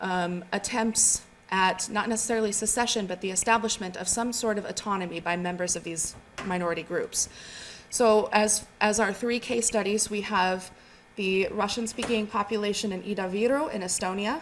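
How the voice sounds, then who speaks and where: Soft-spoken delivery from a woman at medium pitch, with fairly even intonation and a moderate pace. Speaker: academic researcher. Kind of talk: conference presentation. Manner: halting, with fillers and repetitions.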